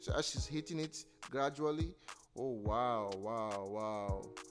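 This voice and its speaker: Over music in the background, a man speaks with lively intonation and a playful, enthusiastic tone. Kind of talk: comedic commentary voiceover over a makeup video. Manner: playful, jokey, enthusiastic.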